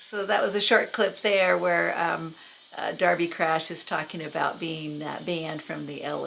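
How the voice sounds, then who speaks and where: A woman with a Californian accent speaks at a fairly slow pace in a fairly low pitch with ordinary variation, with audible room echo and noticeable background noise. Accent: General American (California). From Los Angeles, US West Coast. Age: 60s. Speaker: YouTuber recounting music memories. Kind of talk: casual monologue. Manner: halting, many fillers.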